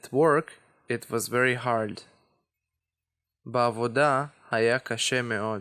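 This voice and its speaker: A man's bright, sharp voice at medium pitch with an Israeli accent, fairly even intonation, a very slow pace and long, frequent pauses. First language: Hebrew. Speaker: language teacher. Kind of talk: tutorial.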